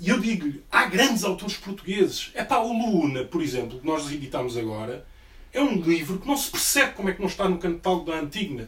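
A man speaks at a fairly quick pace in a high voice, his pitch swinging very widely over noticeable background noise. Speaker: book publisher. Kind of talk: audience discussion. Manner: animated.

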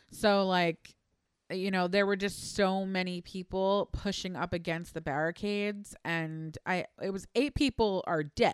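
A woman with an ordinary speaking voice, medium pitch and ordinary pitch variation, at a fairly slow pace, in a dry, close sound with no echo against a quiet background. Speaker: producer and co-host. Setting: live stream.

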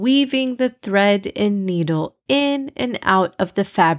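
A quiet background behind plain reading aloud, the intonation lively.

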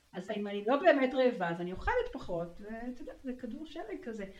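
A woman talks at a fairly quick pace with lively intonation and a fairly high pitch. Audible room echo is present. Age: 50s. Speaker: marketing consultant, coaching client. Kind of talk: personal testimony interview. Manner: frequent laughter.

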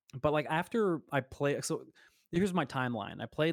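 On a very clean recording with a silent background and a dry, close sound with no echo, a man with an American accent uses a normal speaking voice at a moderate pace with ordinary pitch variation. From US Gulf Coast. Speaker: podcast co-host. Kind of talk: casual chat.

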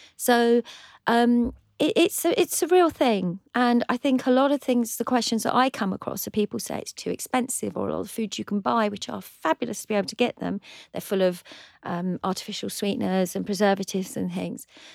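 The recording is very clean with a silent background. A woman with fairly high pitch and lively intonation speaks in a plain, everyday voice. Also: fairly quick pace, dry, close sound with no echo. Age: 50s. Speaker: cookery competition winner. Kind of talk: casual chat. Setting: studio.

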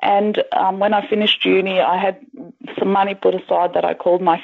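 A woman with an Australian accent at a fairly quick pace, amid noticeable background noise. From Melbourne, Australia (Greek parents). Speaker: author. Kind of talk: interview.

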